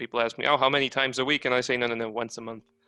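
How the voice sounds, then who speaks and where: A man with a strong non-native accent speaks in a bright, sharp tone at a medium pitch, his intonation monotone and flat. The recording is dry and close, with no echo. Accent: strong foreign. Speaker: comic artist and stand-up comedian. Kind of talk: casual chat.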